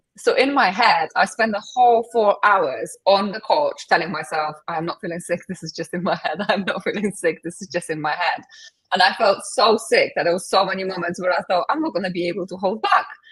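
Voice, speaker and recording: A woman at medium pitch, fairly quick and with hardly any pauses, with ordinary pitch variation. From Poland. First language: Polish. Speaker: transformation coach. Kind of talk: interview.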